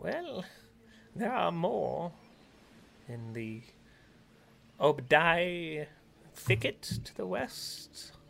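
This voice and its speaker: A man uses a put-on character voice with a fairly high pitch. He talks at a very slow pace with long, frequent pauses. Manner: polite, guarded.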